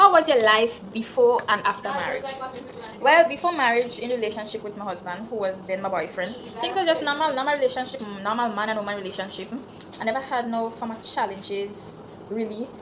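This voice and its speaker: A woman with a Grenadian accent talks at a fairly quick pace in a fairly high pitch, with lively intonation and big swings in loudness over noticeable background noise. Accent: Grenadian Creole English. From Grenada, St David's. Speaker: YouTuber. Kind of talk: Q&A vlog, casual chat. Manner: casual, conversational.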